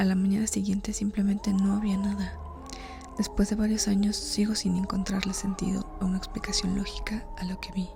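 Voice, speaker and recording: A woman whispers in a soft-spoken way at a fairly quick pace. Noticeable background noise runs underneath. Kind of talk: horror story reading, ASMR. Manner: soft-spoken, whispered.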